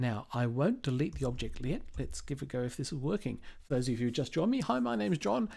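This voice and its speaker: Speaking at a very fast pace, a man uses ordinary pitch variation and a dark, mellow tone. The background is quiet. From Australia. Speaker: cloud developer advocate and live streamer; live streamer. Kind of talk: live coding stream and tech tutorial; casual live-stream tutorial chat. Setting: live video stream. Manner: casual, with frequent filler words.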